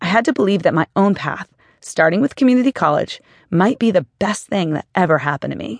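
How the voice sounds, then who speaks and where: With a warm tone and very wide pitch swings, the voice moves at a fairly quick pace in a dry, close sound with no echo over a quiet background. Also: woman, medium pitch for a woman. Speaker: author reading own book. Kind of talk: audiobook narration, first-person memoir read aloud. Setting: studio. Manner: steady, warm, earnest storytelling pace.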